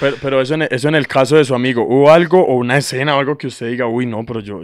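In a dry sound with no echo, a man speaks at a very fast pace with ordinary pitch variation. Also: quiet background. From Colombia. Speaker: radio host; radio show host. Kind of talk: casual chat. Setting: studio. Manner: animated. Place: studio. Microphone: studio mic.

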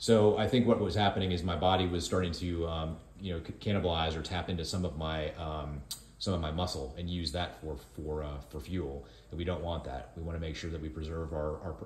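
A man's very deep, low voice, somewhat breathy, with fairly even intonation, a fairly quick pace and audible room echo. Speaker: co-host filming the video. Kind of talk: casual vlog chat. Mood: calm, explanatory. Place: kitchen.

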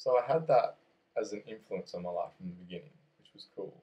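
The voice carries an Australian accent. It moves at a fairly quick pace. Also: man. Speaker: podcast host. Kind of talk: casual chat. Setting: small office.

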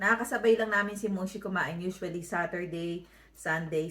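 Ordinary pitch variation runs through an unremarkable speaking voice that keeps a moderate pace. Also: woman. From Philippines, Manila. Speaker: vlogger. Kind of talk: vlog voiceover.

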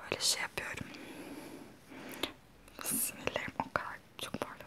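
Whispering in a relaxed tone, the speaker goes at a fairly slow pace. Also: woman. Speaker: ASMR vlogger. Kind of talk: casual talk to camera. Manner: soft-spoken, relaxed. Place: home room. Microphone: lapel.

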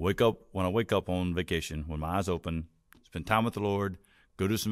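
Over a quiet background, a man with a very deep, low voice speaks at a moderate pace with fairly even intonation. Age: 50s. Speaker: pastor; pastor, podcast guest. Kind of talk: interview conversation. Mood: relaxed, conversational. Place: studio. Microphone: studio mic.

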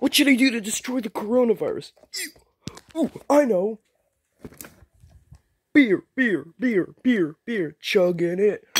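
In a cartoonish character voice with fairly high pitch, the speaker goes at a fairly slow pace with long, frequent pauses. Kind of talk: comedic puppet skit. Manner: excited, silly.

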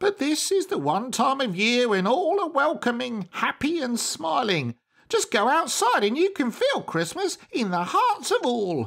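A man's put-on character voice, extremely high in pitch with very wide pitch swings, at a moderate pace with hardly any pauses and very even loudness. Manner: meek, earnest, pleading.

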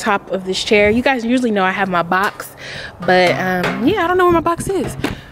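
The speech comes at a very fast pace. The sound is dry with no echo, over light background noise. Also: woman. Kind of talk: casual vlog chat. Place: garden. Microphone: phone near.

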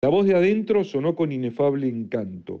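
Over a quiet background, a man with a fairly high pitch and a dark, mellow tone swings his pitch very widely. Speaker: audiobook narrator. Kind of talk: literary audiobook reading. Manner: measured, dramatic narration.

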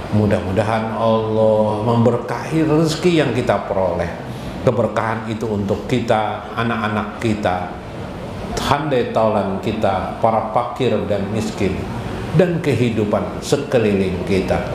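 Amid noticeable background noise and audible room echo, a man speaks at a fairly slow pace with ordinary pitch variation. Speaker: religious teacher. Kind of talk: sermon. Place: hall.

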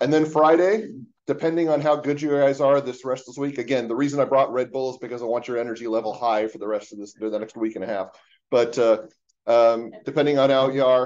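Against a quiet background, a man talks very fast with ordinary pitch variation. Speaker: university instructor. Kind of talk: lecture. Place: office. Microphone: webcam.

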